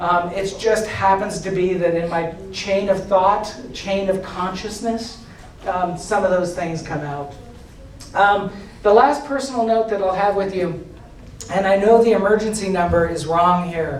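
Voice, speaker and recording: Over noticeable background noise and audible room echo, a man speaks with a high-pitched voice. He goes at a fairly slow pace, with ordinary pitch variation. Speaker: agile coach and conference speaker. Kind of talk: conference talk. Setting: stage with audience. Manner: halting.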